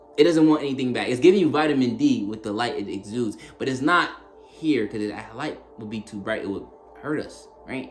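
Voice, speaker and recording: Music plays in the background as a man speaks at a fairly quick pace and medium pitch with ordinary pitch variation, his voice carrying audible room echo. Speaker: spiritual content creator. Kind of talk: spiritual monologue to camera. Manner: halting, repeats words; casual, conversational.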